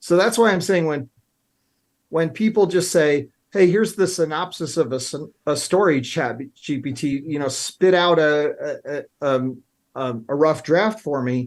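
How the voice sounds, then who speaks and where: A man with an American accent speaks in an ordinary speaking voice, fairly high in pitch with lively intonation. He goes at a fairly slow pace against a quiet background. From Illinois. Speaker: writing coach. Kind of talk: talk show interview. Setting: studio.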